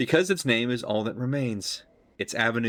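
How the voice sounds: A natural reading voice throughout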